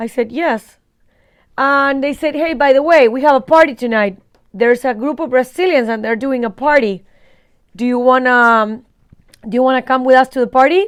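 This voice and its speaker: An animated tone with an Argentine accent, moderate pace, ordinary pitch variation and long, frequent pauses. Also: woman, high pitch for a woman. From Argentina, Buenos Aires. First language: Spanish. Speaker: vlogger. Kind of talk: casual storytelling.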